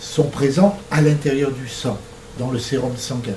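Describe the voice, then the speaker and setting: A man at a fairly slow pace amid noticeable background noise and audible room echo. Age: 60s. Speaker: struck-off doctor giving a talk. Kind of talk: lecture. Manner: hesitant, frequent filler sounds.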